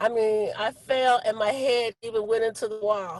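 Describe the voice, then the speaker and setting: This woman has a high-pitched voice. She speaks at a fairly slow pace. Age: 60s. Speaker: business partner giving testimonial. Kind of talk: testimony.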